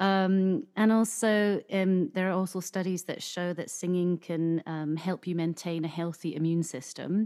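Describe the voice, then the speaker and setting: A woman speaks with a Scottish accent at a medium pitch and a fairly slow pace. Her tone is dark and mellow. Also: ordinary pitch variation, hardly any pauses. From Scotland. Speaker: singer and community choir co-founder. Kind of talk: casual interview. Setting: video call.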